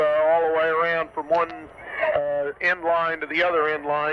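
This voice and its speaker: A man speaks at a moderate pace in a high pitch. Noticeable background noise runs underneath. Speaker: radio color commentator. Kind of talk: live radio sports color commentary. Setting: radio broadcast from a football stadium, 1978 recording.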